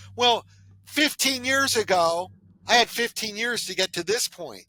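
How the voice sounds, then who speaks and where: A man with an American accent speaks in a raised, projected voice with a bright, sharp tone and very wide pitch swings. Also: dry, close sound with no echo. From Southern California. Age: 60s. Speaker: podcast host, financial planner. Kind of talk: casual chat.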